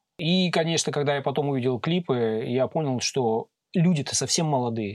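An unremarkable speaking voice talks at a moderate pace. The recording is very clean, with a silent background. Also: man. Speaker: sound engineer. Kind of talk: casual chat. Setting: studio.

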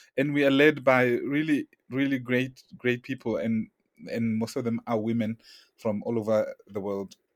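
A normal speaking voice at a moderate pace with fairly even intonation and a dry, close sound with no echo. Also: man, medium pitch for a man. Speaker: podcast host, communications director. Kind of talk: interview.

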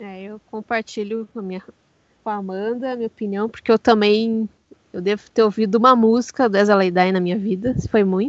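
A woman talks in a normal speaking voice at a fairly high pitch. Her intonation is fairly even, but her loudness swings widely. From Curitiba, Brazil. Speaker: podcast co-host. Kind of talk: casual chat.

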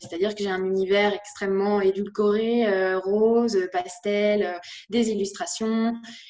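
A woman's dark, mellow tone at a very slow pace. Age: 20s. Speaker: content creator and author. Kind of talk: interview. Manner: halting.

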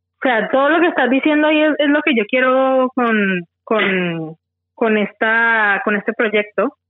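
Her loudness stays very even as this woman speaks at a fairly slow pace. Her pitch is fairly high, with lively intonation. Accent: Valle del Cauca Colombian. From Colombia, Tuluá, Valle del Cauca. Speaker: project founder, accountant. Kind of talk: interview. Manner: halting, repeats words.

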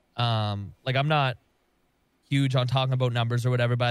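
A man talks at a very fast pace in an animated tone, his pitch medium, on a very clean recording with a silent background. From Canada. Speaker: gaming content creator. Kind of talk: casual chat.

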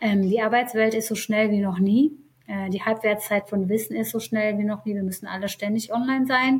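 It is an ordinary speaking voice. A woman talks at a fairly high pitch with fairly even intonation. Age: 30s. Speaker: HR executive. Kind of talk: interview.

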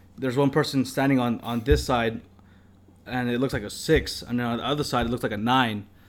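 A man with a plain, everyday voice speaks at a fairly quick pace, with medium pitch and fairly even intonation. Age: 20s. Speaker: podcast co-host. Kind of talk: casual chat.

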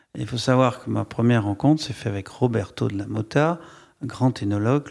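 A man has a normal speaking voice at a medium pitch, moving at a moderate pace with ordinary pitch variation. The recording is very clean, with a silent background. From France, Bordeaux region. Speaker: wine estate director. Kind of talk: public interview. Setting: stage with audience.

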